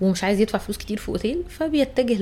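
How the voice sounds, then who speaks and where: This woman has a fairly high pitch. She speaks at a fairly quick pace. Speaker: travel podcast host. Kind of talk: casual chat. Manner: loud.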